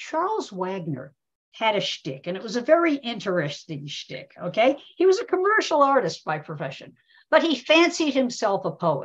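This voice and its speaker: Against a quiet background, a somewhat breathy woman speaks with very wide swings in pitch and big swings in loudness. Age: 70s. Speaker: media historian and professor; professor. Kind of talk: webinar presentation. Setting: video call. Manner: animated. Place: home room. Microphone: video call.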